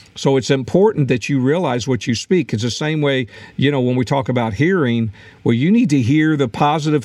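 A man's plain, everyday voice, medium in pitch, with lively intonation at a moderate pace. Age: 60s. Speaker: podcast host and former pastor. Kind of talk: podcast teaching talk. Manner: frequent filler words.

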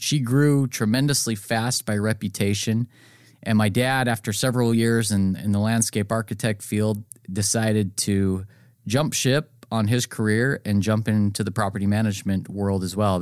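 A man with an American accent speaks in a plain, everyday voice at a fairly low pitch, moderate pace and fairly even intonation on a very clean recording with a silent background. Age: 30s. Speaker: real estate broker and property manager. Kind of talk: podcast monologue. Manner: casual, with fillers and restarts.

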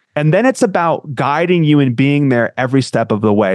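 Heard with a dry, close sound and no echo, a man with an American accent has a plain, everyday voice, fairly high pitch, lively intonation and a moderate pace. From US Northeast, Connecticut. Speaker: marketing manager at a software company. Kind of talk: interview chat.

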